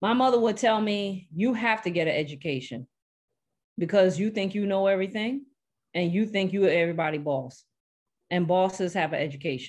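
Animated, fairly quick speech from a woman in a New York accent, medium in pitch, with lively intonation. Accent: New York (Brooklyn), noticeable. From Brooklyn, New York. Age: 40s. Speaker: nurse and skin care expert. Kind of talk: casual interview chat. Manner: animated, candid, talkative.

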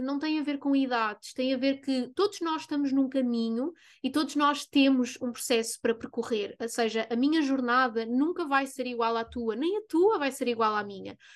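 In a European Portuguese accent, a woman with a high voice talks at a moderate pace with hardly any pauses and ordinary pitch variation. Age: 20s. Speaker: spiritual coach and podcast host. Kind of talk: casual monologue.

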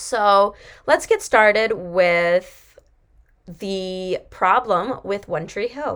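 A woman at a medium pitch, very slow pace and ordinary pitch variation, in a very clean recording with a silent background. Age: 20s. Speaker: podcast host and college student. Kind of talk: casual monologue, TV show commentary.

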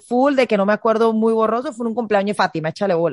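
A woman with a Venezuelan accent speaks at a fairly high pitch with ordinary pitch variation. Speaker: podcast co-host. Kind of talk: casual chat.

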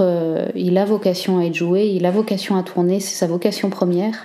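The intonation is fairly even. The speaker is a woman with a medium pitch. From northern France, Cambrai. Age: 30s. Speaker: theatre director and actress. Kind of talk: personal testimony. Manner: hesitant, with fillers.

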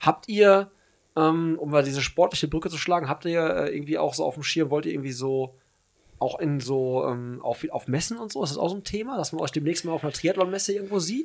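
This man has an ordinary speaking voice with a fairly high pitch. He talks at a fairly quick pace with ordinary pitch variation. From Hagen, Germany. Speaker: podcast host. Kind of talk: casual chat.

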